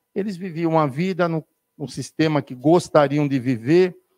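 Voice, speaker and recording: A man speaks at a moderate pace in a fairly high pitch with a dark, mellow tone, recorded very cleanly against a silent background with a dry, close sound and no echo. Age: 60s. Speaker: spiritist speaker. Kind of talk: spiritist lecture.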